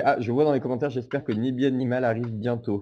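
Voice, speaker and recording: A man with a plain, everyday voice talks at a fairly quick pace in a medium pitch, his intonation fairly even. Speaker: podcast host. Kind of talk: casual chat. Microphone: recorded on phone.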